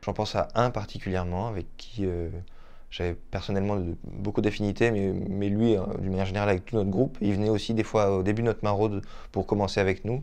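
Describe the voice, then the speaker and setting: A man with a fairly low pitch and a dark, mellow tone talks at a very fast pace in a monotone, flat intonation. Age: 30s. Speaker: volunteer, photographer. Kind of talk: testimony. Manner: halting, with repetitions. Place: home room.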